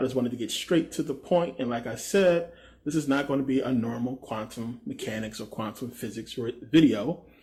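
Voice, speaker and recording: A man speaks somewhat breathily at a fairly quick pace. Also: medium pitch for a man, ordinary pitch variation. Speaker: esoteric video creator. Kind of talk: casual video monologue.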